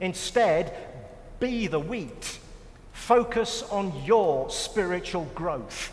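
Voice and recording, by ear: The text is being read aloud. It comes in a natural voice.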